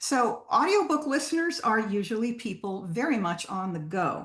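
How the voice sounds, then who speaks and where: Somewhat breathy, a woman speaks at a moderate pace with lively intonation. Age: 70s. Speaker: guest speaker on audiobooks. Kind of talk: presentation. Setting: video call. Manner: hesitant, many ums.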